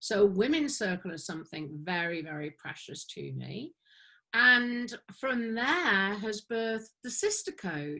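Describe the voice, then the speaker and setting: At a fairly slow pace, a woman speaks in a bright, sharp tone, her loudness swinging widely and her pitch swinging very widely. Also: medium pitch for a woman, very clean recording, silent background. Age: 50s. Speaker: women's circle facilitator. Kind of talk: interview answer.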